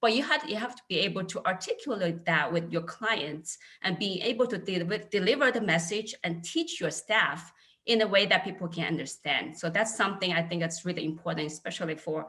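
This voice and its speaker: Bright and sharp in tone, a woman with a Chinese accent speaks at a medium pitch and a fairly quick pace, with lively intonation. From China, Wenzhou. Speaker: accounting manager, alumni panelist. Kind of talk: panel discussion. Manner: halting, many fillers.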